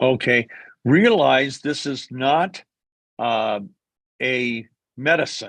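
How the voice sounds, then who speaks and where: A man talks at a medium pitch and a very slow pace. He leaves long, frequent pauses against a quiet background. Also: ordinary pitch variation. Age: 70s. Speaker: company executive. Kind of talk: q&a session.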